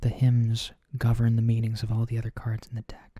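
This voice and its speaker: A man of medium pitch speaks at a moderate pace in a dark, mellow, gentle tone that is somewhat breathy. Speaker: oracle card reader. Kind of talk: ASMR tarot-style reading, explanatory talk to camera. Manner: soft, quiet, gentle.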